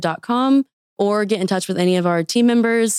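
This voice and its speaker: Speaking fairly quickly with an American accent, a woman has an unremarkable speaking voice and ordinary pitch variation. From Wichita, Kansas. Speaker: accelerator operations manager. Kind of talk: interview. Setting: studio.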